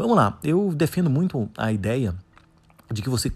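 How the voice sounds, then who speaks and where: A man at a moderate pace with lively intonation, on a very clean recording with a silent background. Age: 40s. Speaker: podcaster on soft skills and coaching. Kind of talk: solo podcast monologue. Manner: hesitant, many fillers.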